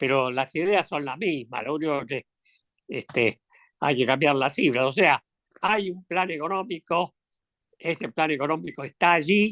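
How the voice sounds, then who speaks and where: A man speaks at a fairly slow pace in a bright, sharp tone, recorded with a dry, close sound and no echo. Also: fairly high pitch for a man, ordinary pitch variation. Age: 80s+. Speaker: economist and former congressman. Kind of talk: interview. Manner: halting, many fillers.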